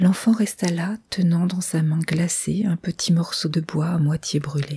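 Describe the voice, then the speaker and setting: Soft-spoken, a woman talks at a fairly slow pace. Her pitch is fairly low and her intonation fairly even. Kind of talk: ASMR story reading.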